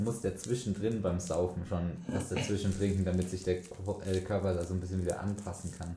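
A man with a fairly low pitch talks at a moderate pace with hardly any pauses, and audible room echo surrounds his voice. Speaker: podcast host. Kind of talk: casual chat.

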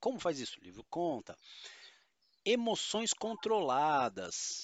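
Talking at a moderate pace, a man makes very wide pitch swings. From São Paulo state, Brazil. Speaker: tabletop RPG podcast co-host and game master. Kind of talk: casual chat. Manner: animated.

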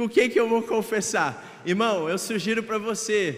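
With audible room echo and noticeable background noise, a man with a Brazilian accent speaks at a high pitch with ordinary pitch variation. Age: 20s. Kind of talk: sermon. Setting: church hall livestream.

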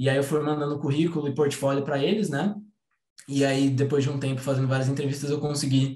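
The voice is somewhat breathy. It moves along at a fairly quick pace. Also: man. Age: 20s. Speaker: game designer. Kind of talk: online talk presentation.

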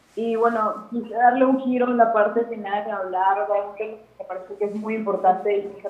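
Against noticeable background noise and audible room echo, a woman talks at a moderate pace. Her pitch is medium and her intonation fairly even. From Guadalajara, Mexico. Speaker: singer-songwriter. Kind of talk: interview.

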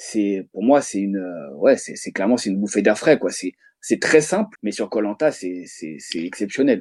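The speaker is a man at a moderate pace. His loudness swings a lot. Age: 30s. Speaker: psychologist, reality game fan. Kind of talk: casual chat.

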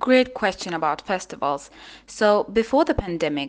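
A woman speaks at a moderate pace with an Azerbaijani accent. The background is quiet. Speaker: linguist. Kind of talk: interview answers.

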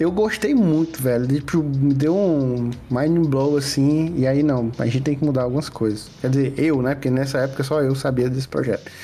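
A man with a fairly high voice talks at a moderate pace with hardly any pauses and ordinary pitch variation. His loudness stays very even over noticeable background noise. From Piauí, Brazil (Piripiri). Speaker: game developer. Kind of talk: casual interview chat.

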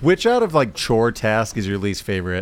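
This man talks at a very fast pace. The recording is very clean and the background silent. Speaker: podcast co-host. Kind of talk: casual chat.

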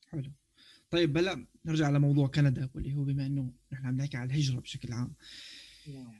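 Monotone and flat, a man with a fairly high pitch speaks at a moderate pace in a dark, mellow, somewhat breathy tone, leaving long, frequent pauses. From Syria. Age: 30s. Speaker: podcast co-host. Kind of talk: casual chat.

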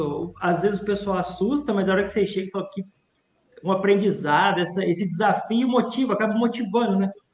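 A man with a high pitch talks at a fairly quick pace, with ordinary pitch variation. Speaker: podcast co-host, logistics teacher. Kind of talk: casual chat. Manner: animated.

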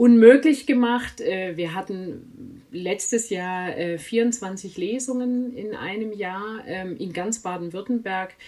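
Here a woman talks at a medium pitch with ordinary pitch variation. Her pace is very slow. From outside Swabia, not native to the region. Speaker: author, editor and reading coach. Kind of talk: casual interview. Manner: many fillers and hesitations.

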